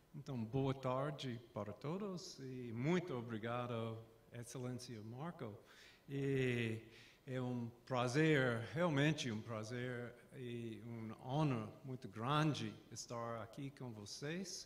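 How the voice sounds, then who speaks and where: With an American accent, the speaker talks at a very slow pace and ordinary pitch variation, and audible room echo surrounds the voice. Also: man, medium pitch for a man. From US South, Atlanta. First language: English (speaking Portuguese). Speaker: professor. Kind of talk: lecture. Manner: halting.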